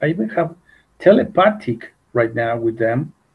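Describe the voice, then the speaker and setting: A man talks at a fairly slow pace with a Mexican accent. His voice is somewhat breathy, and his intonation is lively. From Mexico. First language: Spanish. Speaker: UFO contactee. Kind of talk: interview. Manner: halting, repeats words.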